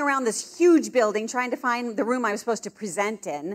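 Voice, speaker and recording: Loud and animated, a woman talks at a high pitch and a fairly quick pace with lively intonation. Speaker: pro-life speaker. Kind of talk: convention keynote talk. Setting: stage with audience.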